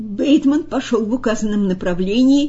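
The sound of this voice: An unforced reading voice carries the recording.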